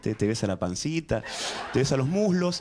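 Over noticeable background noise, a man speaks in an animated tone with very wide pitch swings. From Argentina. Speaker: stand-up comedian. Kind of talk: stand-up comedy routine. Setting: stage with audience. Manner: animated, conversational, stammering and repeating words as comic timing; cheeky, self-deprecating storyteller with punchline delivery and audience interplay. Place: studio. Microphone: handheld.

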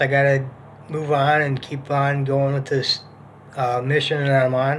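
With light background noise behind him, a man speaks at a moderate pace in monotone, flat intonation. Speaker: vlogger. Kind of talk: casual vlog chat. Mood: calm, hopeful. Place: home room. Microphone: phone near.

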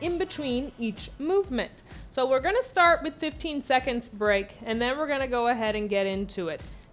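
Faint music sits behind a woman speaking at a moderate pace in a high pitch. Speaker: fitness instructor. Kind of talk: tutorial.

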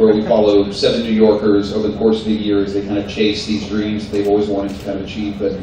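The speech comes at a very fast pace. Strong room echo and light background noise are present. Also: man. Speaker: guest. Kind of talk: interview answer. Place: hall.

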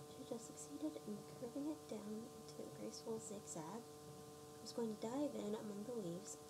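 Soft-spoken, a woman with a very deep, low pitch and very wide pitch swings talks at a moderate pace amid noticeable background noise. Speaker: ASMR reader. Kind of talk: read story.

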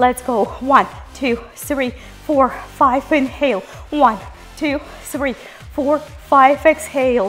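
Faint music plays in the background as a woman speaks at a high pitch with ordinary pitch variation. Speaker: fitness instructor. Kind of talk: workout instruction and counting. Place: studio.

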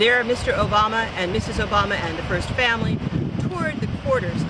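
A woman speaks at a moderate pace. The sound is dry with no echo, but loud background noise is present. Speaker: news presenter. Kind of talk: news reading, polished broadcast report. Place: beach.

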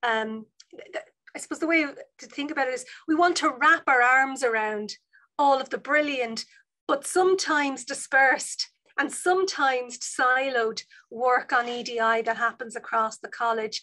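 Projected and raised, a woman's high-pitched voice carries a bright, sharp tone and a Dublin accent, moving at a moderate pace with ordinary pitch variation against a quiet background. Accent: Dublin Irish. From Ireland, Dublin North Inner City; Ireland. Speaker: university vice provost and professor. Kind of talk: online seminar talk. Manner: animated. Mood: warm, friendly. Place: office. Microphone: video call.

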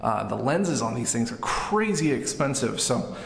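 A man talks at a moderate pace over light background noise, with audible echo in the room. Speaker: vlogger. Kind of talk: casual tutorial vlog chat. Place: bathroom. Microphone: phone near.

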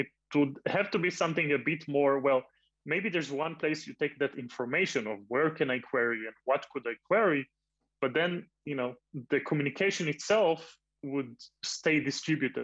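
Against a quiet background, a man with a plain, everyday voice speaks at a moderate pace and a fairly high pitch, with ordinary pitch variation. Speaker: open source software developer; panelist. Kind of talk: panel discussion. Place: home room. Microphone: video call.

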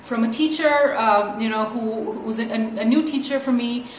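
In a room with audible echo and light background noise, a woman talks at a moderate pace with ordinary pitch variation. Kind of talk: casual vlog chat. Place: home room.

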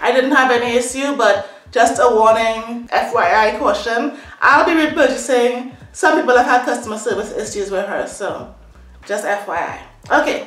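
Speaking at a moderate pace with a high pitch and ordinary pitch variation, a woman is heard with audible room echo. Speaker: hair product reviewer. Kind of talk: casual vlog chat. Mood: relaxed, chatty. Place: home room. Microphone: phone near.

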